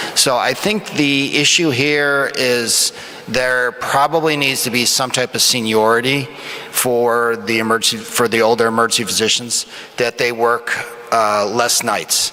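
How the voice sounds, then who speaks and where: A man talks at a fairly slow pace in a medium pitch. Noticeable background noise sits behind him. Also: very even loudness. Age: 50s. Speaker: emergency physician, panelist. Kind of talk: panel discussion answer. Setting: conference stage with audience.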